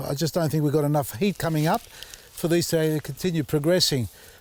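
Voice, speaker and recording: With an Australian accent, a man speaks in a fairly high pitch and an animated tone. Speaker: gardening YouTuber. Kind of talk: casual vlog talk to camera. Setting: outdoors in garden.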